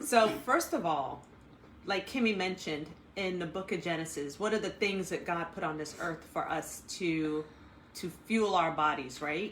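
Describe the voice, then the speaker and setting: A woman with a fairly low pitch speaks at a moderate pace with ordinary pitch variation, and audible room echo surrounds her voice. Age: 40s. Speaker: health coach. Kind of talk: casual chat.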